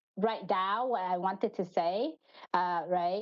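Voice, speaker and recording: A woman with a Vietnamese accent speaks at a medium pitch and a fairly slow pace, with ordinary pitch variation. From Vietnam, Hanoi. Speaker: finance manager. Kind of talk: podcast interview. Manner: halting.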